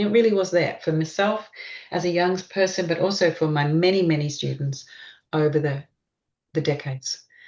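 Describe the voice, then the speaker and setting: With an Australian accent, a woman speaks at a very deep, low pitch. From Queensland, Australia. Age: 60s. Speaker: gestalt therapist. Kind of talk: interview.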